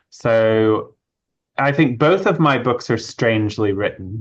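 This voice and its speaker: Against a quiet background, a man speaks with a slight British accent and ordinary pitch variation. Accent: slight British hint. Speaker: author and witchcraft initiate. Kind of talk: interview. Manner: conversational with fillers.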